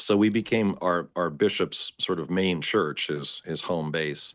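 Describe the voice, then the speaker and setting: A man with a Canadian accent at a fairly slow pace, on a very clean recording with a silent background. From Canada. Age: 50s. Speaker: Orthodox priest. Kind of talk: interview conversation. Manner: halting, many repetitions.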